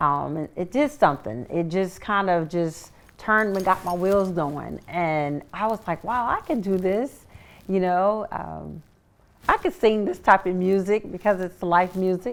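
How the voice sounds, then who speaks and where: A woman speaks with an American accent. Her voice sits at a medium pitch and moves at a fairly slow pace. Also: ordinary pitch variation. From Sacramento, California. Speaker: singer and author. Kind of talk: interview.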